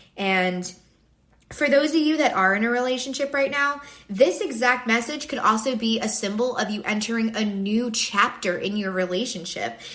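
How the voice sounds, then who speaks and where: Audible room echo and noticeable background noise surround this recording. A woman speaks in a fairly high pitch with ordinary pitch variation. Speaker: tarot reader. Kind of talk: collective tarot reading. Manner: fast.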